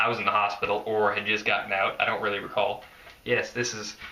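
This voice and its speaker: Noticeable background noise behind a man speaking in an American accent. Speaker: skateboarding vlogger. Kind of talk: casual vlog monologue. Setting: filmed at home by girlfriend.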